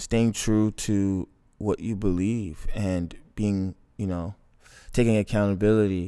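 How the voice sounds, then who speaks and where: A dark, mellow tone in a Toronto accent, monotone and flat, at a fairly slow pace with long, frequent pauses. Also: man, fairly low pitch for a man. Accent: Canadian English (Toronto). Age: 20s. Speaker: filmmaker. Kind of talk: casual chat.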